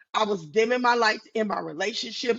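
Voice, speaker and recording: Her voice is fairly high-pitched. This woman sounds animated. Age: 50s. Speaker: author and guest sharing personal story. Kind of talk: casual interview, personal testimony. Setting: video podcast. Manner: naturally loud.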